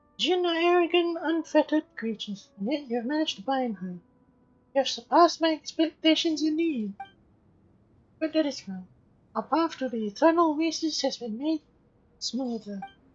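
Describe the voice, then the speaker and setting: A female-sounding voice performs a put-on character voice at a high pitch. Long, frequent pauses break up the delivery. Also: moderate pace. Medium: solo performance. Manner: formal, dignified.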